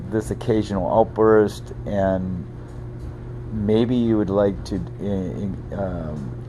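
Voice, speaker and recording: Noticeable background noise accompanies a man with a fairly low pitch. He speaks at a very slow pace with very wide pitch swings. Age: 70s. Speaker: parent vlogger reviewing a cannabis product. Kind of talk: casual video review monologue. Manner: hesitant, many fillers.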